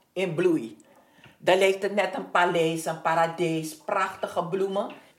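Speaking at medium pitch, a woman is heard with audible room echo. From Suriname. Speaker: neighbourhood resident. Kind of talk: interview.

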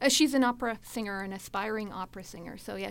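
Speaking in a plain, everyday voice with a Canadian accent, a woman keeps a medium pitch and fairly even intonation. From Edmonton, Alberta, Canada. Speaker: writer. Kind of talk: interview.

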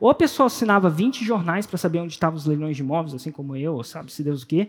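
A man's high-pitched voice with an animated tone. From Brasília, Brazil. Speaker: entrepreneur and personal development coach. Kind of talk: motivational talk.

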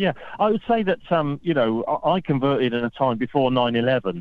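A man speaks with a British accent. His pace is moderate and his pitch variation ordinary. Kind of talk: radio interview. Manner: humorous, laughs often.

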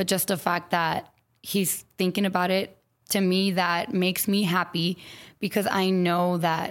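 An ordinary speaking voice from a woman with an American accent, fairly low-pitched, fairly slow, with fairly even intonation, on a very clean recording with a silent background. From San Antonio, Texas. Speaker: elementary school teacher. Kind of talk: interview conversation.

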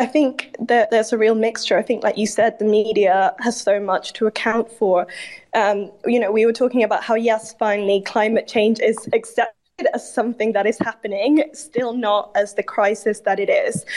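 A woman with an unremarkable speaking voice talks at a moderate pace in a fairly high pitch. Her intonation is fairly even and her loudness very even. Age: 20s. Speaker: student climate activist. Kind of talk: casual chat.

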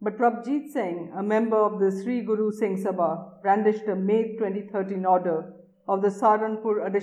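An unforced reading voice is heard here. Its intonation is fairly even.

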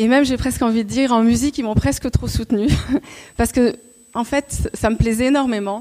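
Dark and mellow in tone, a woman speaks at a fairly high pitch and a fairly quick pace. Her intonation is fairly even, broken by long, frequent pauses. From Paris region (Montreuil). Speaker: former cabaret dancer and choreographer. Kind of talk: talk to an audience. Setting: stage with audience. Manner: halting, many hesitations.

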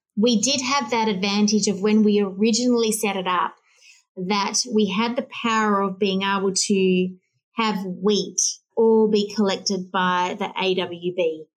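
A woman with an Australian accent, medium pitch and fairly even intonation, at a fairly slow pace against a quiet background. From Western Australia. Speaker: plant breeding company CEO. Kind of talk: interview.

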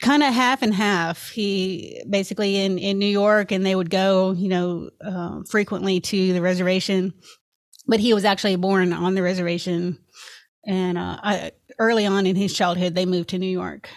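On a very clean recording with a silent background, a woman with a Tennessee accent speaks at a moderate pace with fairly even intonation. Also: medium pitch for a woman. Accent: Southern US (Tennessee). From Memphis, Tennessee (US South). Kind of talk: interview conversation.

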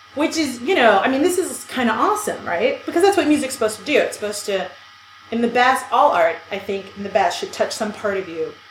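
Talking at a very fast pace, a woman with an American accent uses a high pitch and very wide pitch swings, with noticeable background noise and audible room echo. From US, New York City (Brooklyn). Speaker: podcast co-host. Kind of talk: casual chat.

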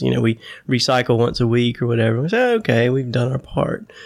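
Talking at a very fast pace, a man holds a medium pitch with fairly even intonation. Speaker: podcast host. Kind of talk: casual interview conversation.

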